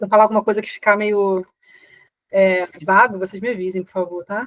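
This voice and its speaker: With fairly even intonation, a woman's voice sits at a medium pitch. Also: dry, close sound with no echo. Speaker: teacher. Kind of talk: live online class. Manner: fast.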